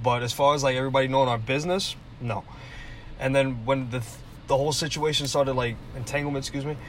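A man at medium pitch, very fast between long, frequent pauses, fairly even in intonation, with audible room echo. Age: 20s. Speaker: podcast co-host. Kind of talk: casual chat.

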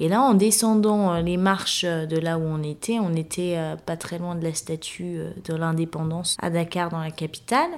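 A woman's fairly low voice, fairly slow, with fairly even intonation. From Guinea (Guinean heritage). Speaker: specialized educator. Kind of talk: interview testimony. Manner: halting, frequent hesitations.

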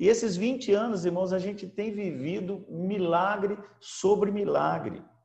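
A man with a high voice speaks at a fairly slow pace, with audible room echo. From Brazil, São Paulo state (Americana). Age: 60s. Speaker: apostle and pastor, former businessman. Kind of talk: preaching talk. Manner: halting, frequent fillers.

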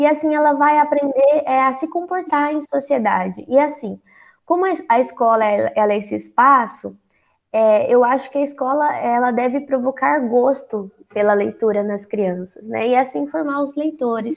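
At a moderate speed, the delivery shows ordinary pitch variation. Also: woman, high pitch for a woman. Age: 20s. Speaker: psychologist and author. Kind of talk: interview.

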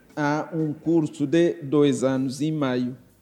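A man's fairly high voice at a very slow pace with ordinary pitch variation. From East Timor. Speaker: judge. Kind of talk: interview. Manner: halting, with frequent filler sounds.

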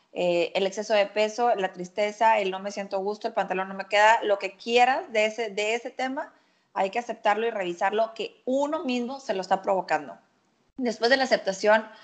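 At a moderate pace, a plain, everyday voice speaks with ordinary pitch variation against a quiet background. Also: woman, fairly high pitch for a woman. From Mexico, Monterrey. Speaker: nutritionist. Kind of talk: casual chat.

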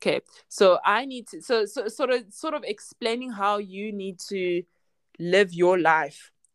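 A woman with a South African accent speaks with lively intonation. The recording is very clean and silent behind her, dry and close with no echo. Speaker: occupational therapist in psychiatry. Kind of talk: interview, casual chat.

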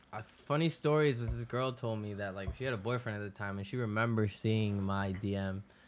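Someone speaks with a Spanish accent at a fairly quick pace. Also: man, fairly low pitch for a man, ordinary pitch variation. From Florida, West Palm Beach (born Ecuador). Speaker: music producer. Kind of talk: casual interview.

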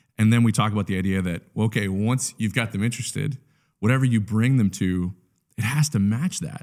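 A man talks at a fairly quick pace in a plain, everyday voice. His pitch is fairly low with ordinary variation. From Canada. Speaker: church communications specialist. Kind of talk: casual interview.

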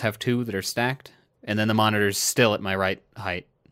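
In a plain, everyday voice, a man speaks at a moderate pace and medium pitch on a very clean recording with a silent background. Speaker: podcast co-host. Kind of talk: casual chat. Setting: studio.

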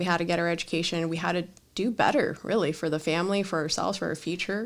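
A woman with an American accent talks at a very fast pace, her pitch fairly low. The recording is very clean, with a silent background. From Los Angeles, California. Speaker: Marine Corps officer and computer science graduate student. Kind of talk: casual interview.

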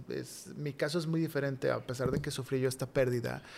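The man speaks at medium pitch and a fairly quick pace, with monotone, flat intonation. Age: 30s. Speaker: podcast guest. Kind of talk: testimony.

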